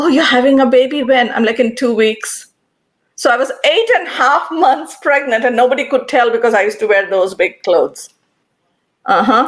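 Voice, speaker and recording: A woman with an Indian accent, high in pitch for a woman, at a moderate pace with lively intonation and very even loudness. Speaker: panelist, former software engineer. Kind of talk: panel discussion. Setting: live stream.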